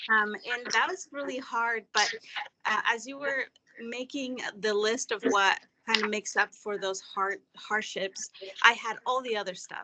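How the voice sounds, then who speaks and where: The delivery runs at a fairly slow pace with ordinary pitch variation. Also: woman, fairly high pitch for a woman. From Mexico. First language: Spanish. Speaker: webinar participant. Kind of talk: personal story.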